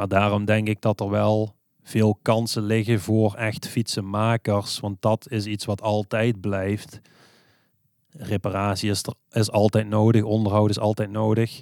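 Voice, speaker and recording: A man speaks at a fairly slow pace in a fairly low pitch. The recording is very clean and dry, with a close sound, no echo and a silent background. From Netherlands, Limburg (Swalmen). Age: 30s. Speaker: bicycle repair shop owner. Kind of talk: interview. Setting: on location at his shop. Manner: hesitant, many filler sounds.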